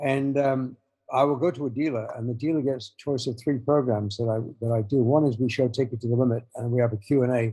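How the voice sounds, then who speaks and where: Speaking very fast with an English accent, a man uses a medium pitch and fairly even intonation. His voice is somewhat breathy, with a dark, mellow tone. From England. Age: 70s. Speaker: motorcycle filmmaker and author. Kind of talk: interview conversation. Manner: halting.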